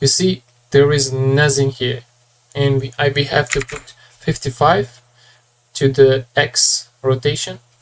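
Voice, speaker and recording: Long pauses come often, and the pace stays fairly slow. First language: not English. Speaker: 3D artist, tutorial creator. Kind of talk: tutorial. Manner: halting, with hesitations.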